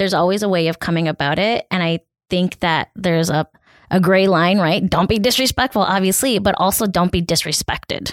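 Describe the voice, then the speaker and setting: A woman with a normal speaking voice talks at a fairly quick pace, medium in pitch with ordinary pitch variation and very even loudness. The recording is very clean with a silent background and a dry, close sound with no echo. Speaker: podcast co-host. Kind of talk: casual chat.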